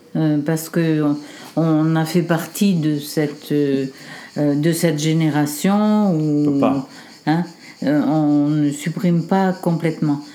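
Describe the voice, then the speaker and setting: Very slow pace with long, frequent pauses from a woman with a very deep, low pitch, fairly even intonation and very even loudness. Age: 70s. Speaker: grandmother of the host. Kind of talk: casual family conversation.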